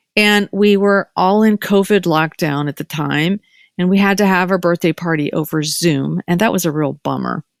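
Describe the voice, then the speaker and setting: A woman's fairly low-pitched, animated voice, dry and close with no echo, over music in the background. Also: moderate pace. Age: 60s. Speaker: podcast host and doctor. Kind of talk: casual chat.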